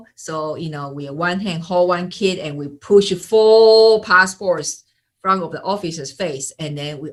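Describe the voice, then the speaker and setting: With a Taiwanese accent, a woman talks at a fairly slow pace, her fairly low pitch carrying ordinary pitch variation. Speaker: sales and marketing coach. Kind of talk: interview. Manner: halting, many fillers.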